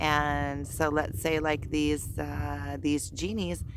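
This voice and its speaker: The voice has vocal fry and very wide pitch swings. It moves at a very slow pace. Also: woman. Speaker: spiritual vlogger. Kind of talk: casual vlog monologue. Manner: halting, many fillers.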